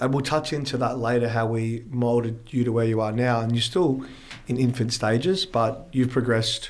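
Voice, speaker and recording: With an Australian accent, a man talks at a moderate pace, his medium pitch carrying fairly even intonation. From Australia, Melbourne. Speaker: fitness influencer, clothing brand owner. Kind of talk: casual chat.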